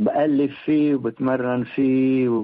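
A man is speaking. His pace is very slow. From Lebanon, Beirut. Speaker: composer and pianist. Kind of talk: interview.

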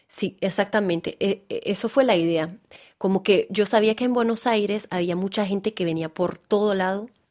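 Fairly even intonation with a slight Venezuelan accent, over a quiet background. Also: woman, medium pitch for a woman, moderate pace. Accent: Spanish with Venezuelan touch. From France, French Alps. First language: French (speaking Spanish). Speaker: actress and theatre director. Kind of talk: interview. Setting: studio. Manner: halting, repeats words.

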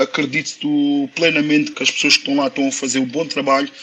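Fairly quick and fairly high-pitched, a man speaks with monotone, flat intonation. Noticeable background noise sits behind him. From Portugal, Lisbon. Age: 30s. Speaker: professional footballer. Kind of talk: interview.

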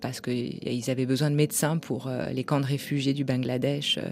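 A woman with a very deep, low voice talks at an average tempo, her pitch moving a normal amount. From France. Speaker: novelist and editor. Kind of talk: interview.

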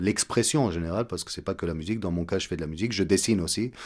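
This is an unremarkable speaking voice. The recording is very clean, with a silent background. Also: man. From Egypt. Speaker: composer and oud player. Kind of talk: radio interview.

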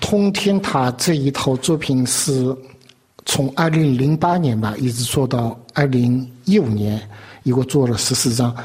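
With very even loudness, a man talks fairly slowly at medium pitch with ordinary pitch variation. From China. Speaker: artist. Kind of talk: interview. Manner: halting.

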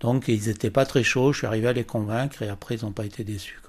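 A man speaks at a medium pitch with ordinary pitch variation in a plain, everyday voice, recorded very cleanly against a silent background. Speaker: press photographer. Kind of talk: testimony.

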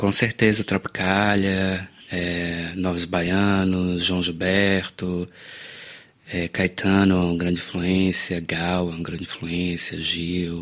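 A man talks very slowly in a very deep, low voice. His intonation is monotone and flat. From Salvador, Bahia, Brazil. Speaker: singer-songwriter. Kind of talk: interview. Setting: studio.

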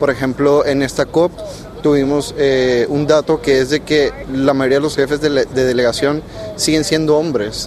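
A man's fairly high voice holds a monotone, flat intonation at a moderate pace while noticeable background noise carries on. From Panama. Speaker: youth climate negotiator. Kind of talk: interview. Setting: conference venue.

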